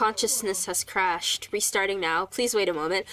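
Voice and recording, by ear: In a robotic, put-on character voice, a woman speaks at a moderate pace and a medium pitch.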